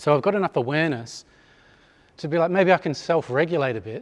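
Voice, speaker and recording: A man with an Australian accent talks at a fairly quick pace on a very clean recording with a silent background. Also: dry, close sound with no echo. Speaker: chiropractor giving a talk. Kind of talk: conference talk to live audience. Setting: hall with live audience. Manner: fast; hesitant with fillers.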